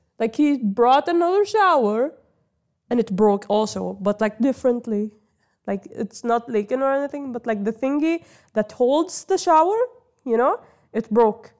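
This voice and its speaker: Lively in intonation, a woman speaks at a moderate pace in a high voice. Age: 20s. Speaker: podcast host. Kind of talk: casual solo monologue. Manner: halting, many fillers.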